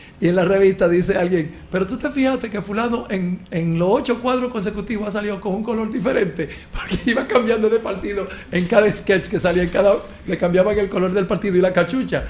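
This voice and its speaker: Over noticeable background noise, a man talks at a very fast pace. His high-pitched voice has an animated tone and ordinary pitch variation. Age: 50s. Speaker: talk show panelist. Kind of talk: casual chat.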